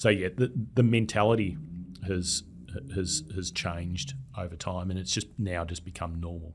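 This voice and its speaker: A man with an Australian accent talks at a moderate pace with a very deep, low pitch, ordinary pitch variation and a somewhat breathy sound. He leaves long, frequent pauses, and the recording is very clean with a silent background. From Australia, Melbourne. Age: 40s. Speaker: data analytics expert. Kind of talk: casual interview. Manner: halting, many repeated words.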